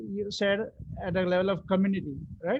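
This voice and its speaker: A high-pitched man with an Indian accent and fairly even intonation. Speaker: workshop facilitator. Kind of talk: interactive online workshop. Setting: online live session.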